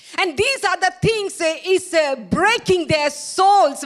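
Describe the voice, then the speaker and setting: An extremely high-pitched woman's voice with ordinary pitch variation, very slow pace and noticeable background noise. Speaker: preacher. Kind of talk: sermon. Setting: church with live stream. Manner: halting.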